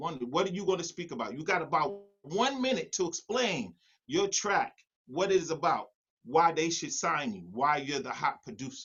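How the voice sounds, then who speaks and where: A man with a New York accent speaks at a high pitch and moderate pace. His tone is animated, his intonation lively. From New York City. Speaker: music producer. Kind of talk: online workshop presentation.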